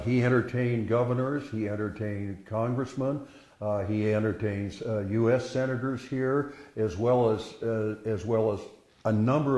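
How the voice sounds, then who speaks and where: A man at medium pitch and moderate pace, with fairly even intonation over noticeable background noise. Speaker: rancher's great-grandson giving a house tour. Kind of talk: guided tour talk. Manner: hesitant, conversational.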